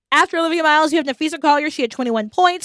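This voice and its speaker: An extremely high female voice with ordinary pitch variation, dry and close with no echo, against a quiet background. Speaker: podcast host; teacher. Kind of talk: casual chat. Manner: loud.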